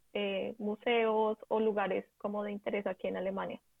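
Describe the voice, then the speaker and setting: A woman with a Bogotá accent, fairly high pitch, fairly even intonation and a moderate pace. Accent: Colombian Spanish (Bogotá). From Colombia (Bogotá / Ubaté). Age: 20s. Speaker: advertising professional on volunteer exchange. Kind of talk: interview conversation.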